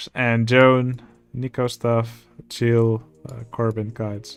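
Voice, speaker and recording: Speaking with a non-native accent, a man holds a medium pitch. His very slow delivery stays monotone and flat. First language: not English. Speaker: video game streamer. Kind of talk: casual livestream chat. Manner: many filler words and hesitations.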